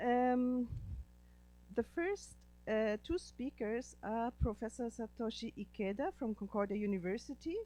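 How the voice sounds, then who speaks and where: A woman is speaking. She has a German accent. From Germany. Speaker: professor and panel moderator. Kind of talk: panel introduction.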